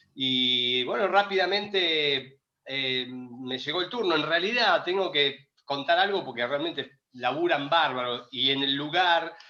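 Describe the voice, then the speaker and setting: A man with a plain, everyday voice speaks at fairly high pitch with ordinary pitch variation. His pace is fairly slow, with hardly any pauses. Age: 60s. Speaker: retired volleyball player, Olympic medalist. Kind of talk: interview.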